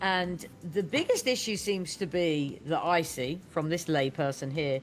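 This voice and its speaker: A woman with a British accent, fairly low in pitch, ordinary pitch variation, at a fairly slow pace. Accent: British accent, self-remarked. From United Kingdom. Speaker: podcast host. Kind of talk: podcast interview. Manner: enthusiastic.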